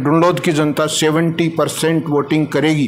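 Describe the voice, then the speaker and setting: A man talks in a high voice. Clearly audible background noise fills in behind him. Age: 70s. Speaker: voter interviewed in street poll. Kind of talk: vox pop interview.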